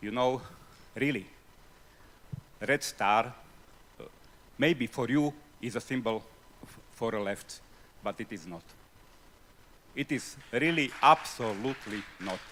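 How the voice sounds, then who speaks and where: Speaking fairly slowly with long, frequent pauses, a man with a non-native accent uses a medium pitch, ordinary pitch variation and big swings in loudness. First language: not English. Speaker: audience member asking a question. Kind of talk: festival panel Q&A. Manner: halting.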